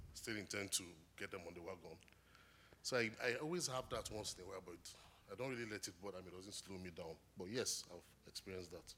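Speaking very fast with a Nigerian accent, a man uses a bright, sharp tone and ordinary pitch variation, broken by long, frequent pauses. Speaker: graduate student. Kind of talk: testimony interview. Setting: church stage.

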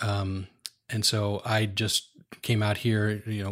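In a very clean recording with a silent background, a man with an ordinary speaking voice and a fairly low pitch talks at a moderate pace. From US Northeast, outside New York City. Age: 60s. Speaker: retired AV technician. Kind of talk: interview.

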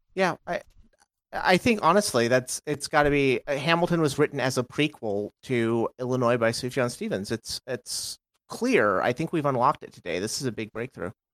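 A man with a normal speaking voice talks at a medium pitch and a moderate pace, with lively intonation. The very clean recording has a silent background and a dry, close sound with no echo. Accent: American. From Texas. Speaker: podcast guest. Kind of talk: casual chat.

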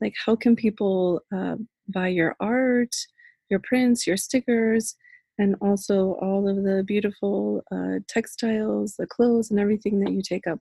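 Ordinary pitch variation and a moderate pace mark this somewhat breathy delivery. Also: woman. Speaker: podcast host. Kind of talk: casual interview. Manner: animated, laughs often.

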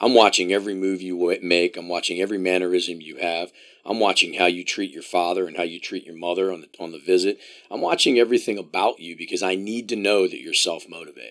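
With an American accent, a man talks at a very fast pace in a very deep, low pitch and fairly even intonation. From US, Columbia, Maryland. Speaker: college soccer coach. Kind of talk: casual interview.

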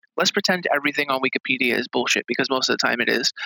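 Very fast speech from a man with vocal fry, medium pitch, ordinary pitch variation, and a dry, close sound with no echo. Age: 30s. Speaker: author and game journalist. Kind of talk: casual interview.

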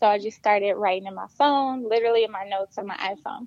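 A woman's fairly high, quick-paced voice with an American accent, a normal speaking voice, ordinary pitch variation and a dry, close sound with no echo. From Flint, Michigan. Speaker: author. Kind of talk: podcast interview, personal testimony.

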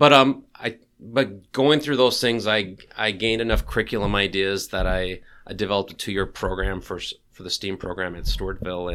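Lively intonation and a bright, sharp tone from a man, on a very clean recording with a silent background. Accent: American. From Minnesota, US. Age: 40s. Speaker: teacher. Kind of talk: interview. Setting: in person.

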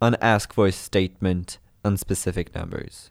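A man with a French accent speaks in a fairly low pitch with fairly even intonation. The recording is very clean with a silent background. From Brittany, France. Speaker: student radio intern and podcast host. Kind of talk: scripted narration.

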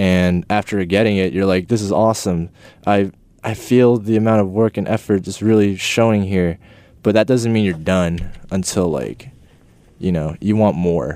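A man talks with an American accent at a fairly low pitch. His tone is dark and mellow, with ordinary pitch variation. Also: moderate pace. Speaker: graphic designer. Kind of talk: casual interview.

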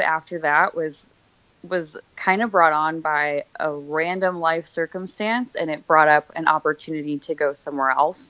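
With an American accent, a woman has an unremarkable speaking voice pitched fairly low. She speaks at a fairly slow pace, with ordinary pitch variation. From Pennsylvania, Scranton. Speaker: body piercing studio manager. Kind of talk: casual interview. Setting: phone call.

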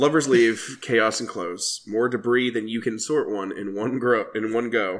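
A man with a plain, everyday voice at a medium pitch, moderate pace and fairly even intonation, hardly any pauses, on a very clean recording with a silent background. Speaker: podcast co-host. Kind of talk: casual chat.

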